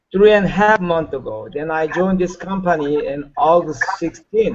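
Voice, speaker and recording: A man with a Korean accent, high-pitched, with ordinary pitch variation. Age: 60s. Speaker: network marketer. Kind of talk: webinar training talk. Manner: halting, many fillers; energetic.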